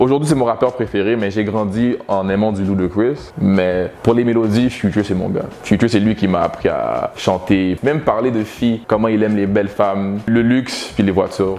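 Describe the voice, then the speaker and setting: Noticeable background noise sits behind a man speaking at a fairly low pitch with ordinary pitch variation. He keeps a moderate pace with hardly any pauses. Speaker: rapper. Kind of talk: interview. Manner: articulate.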